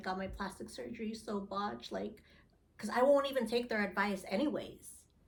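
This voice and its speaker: Speaking at a fairly quick pace with vocal fry, a woman with an American accent is heard with audible room echo. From Philippines-born, grew up in US. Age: 40s. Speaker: reality TV casting interviewee. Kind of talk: interview. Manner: loud.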